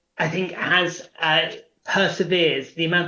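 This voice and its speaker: This man's voice sits high in pitch and carries a monotone, flat intonation. He talks at a fairly slow pace, with audible room echo around him. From England (London area). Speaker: prospective parent, travel company worker. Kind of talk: interview.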